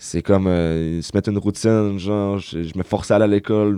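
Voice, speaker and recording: His tone is dark and mellow. This man speaks at a fairly low pitch. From Quebec, Saguenay (Chicoutimi). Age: 20s. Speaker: youth social worker, former addict. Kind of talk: personal testimony in interview.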